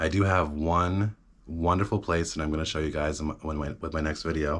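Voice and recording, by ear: Recorded very cleanly over a silent background, a man speaks at a fairly quick pace with an extremely low pitch, a fairly bright tone and little pitch movement.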